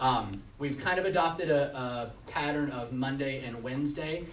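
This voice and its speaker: Audible room echo and noticeable background noise accompany this man's speech. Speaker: school administrator. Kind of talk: presentation at board meeting. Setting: public meeting with audience. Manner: fast; hesitant with many fillers.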